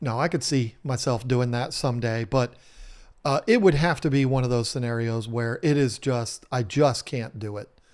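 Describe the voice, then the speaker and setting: Delivered at a moderate pace in a Southern US accent, the speech has ordinary pitch variation. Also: man. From US South. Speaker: home renovation YouTuber. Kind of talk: live stream chat. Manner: casual, many fillers.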